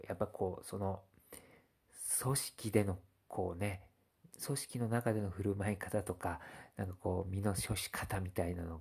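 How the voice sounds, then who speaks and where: On a very clean recording with a silent background, a man speaks at a moderate pace in a fairly low, somewhat breathy, dark and mellow voice. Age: 30s. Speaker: blogger. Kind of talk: casual monologue. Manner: halting, many fillers.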